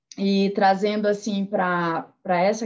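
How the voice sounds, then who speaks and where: A woman speaks at medium pitch and a very slow pace. The background is quiet. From Santarém, Pará. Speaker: music therapist and lecturer. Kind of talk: panel discussion.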